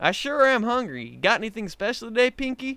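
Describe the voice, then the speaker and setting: A man puts on a character voice at an extremely high pitch, speaking at a fairly quick pace. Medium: read story. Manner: folksy.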